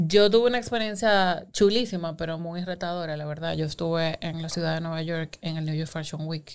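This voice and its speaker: A woman with a normal speaking voice and a fairly low pitch talks at a moderate pace with ordinary pitch variation and hardly any pauses, in a very clean recording with a silent background. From Dominican Republic. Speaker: digital marketing and advertising professional. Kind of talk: casual chat.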